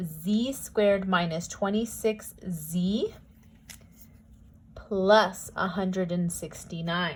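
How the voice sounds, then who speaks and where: Somewhat breathy, this voice rises and falls with ordinary pitch variation. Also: woman. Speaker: math teacher. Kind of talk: tutorial.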